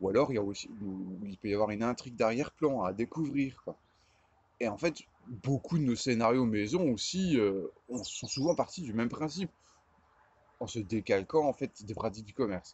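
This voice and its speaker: A man talks at a moderate pace with long, frequent pauses and big swings in loudness, in a dry sound with no echo. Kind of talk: casual vlog chat. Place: garden. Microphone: phone near.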